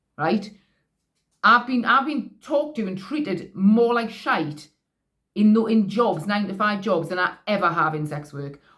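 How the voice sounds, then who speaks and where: Lively intonation marks this woman's Geordie accent. She speaks at medium pitch and a moderate pace. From northeast England. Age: 40s. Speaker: vlogger, sex worker. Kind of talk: casual monologue. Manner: halting, many false starts.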